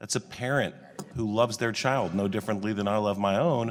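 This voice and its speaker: A man speaks at a medium pitch. He has an American accent. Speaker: congressman at a hearing. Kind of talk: committee hearing questioning. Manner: fast; formal.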